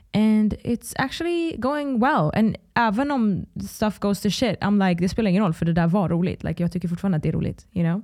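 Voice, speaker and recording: A woman with an unremarkable speaking voice talks at medium pitch and a fairly quick pace, with lively intonation, very even loudness and hardly any pauses. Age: 20s. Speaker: podcaster. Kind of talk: casual solo podcast monologue. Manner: code-switching Swedish and English; casual, rambling with fillers.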